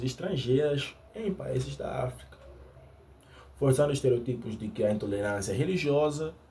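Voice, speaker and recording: A man speaks at a moderate pace and medium pitch, with lively intonation. Vocal fry runs through his voice. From Angola. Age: 20s. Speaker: YouTuber. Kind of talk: unscripted monologue. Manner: halting.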